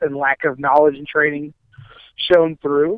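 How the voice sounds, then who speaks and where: A man with a Midwestern American accent speaks with fairly even intonation. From Ohio, Akron area. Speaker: professional wrestler. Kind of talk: casual interview chat. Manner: repeats words, stammering restarts.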